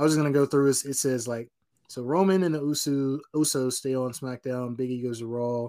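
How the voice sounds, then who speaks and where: A man with an American accent and a normal speaking voice talks at a fairly high pitch with ordinary pitch variation. The recording is very clean, with a silent background. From North Carolina. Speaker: wrestling podcast co-host. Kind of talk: casual chat.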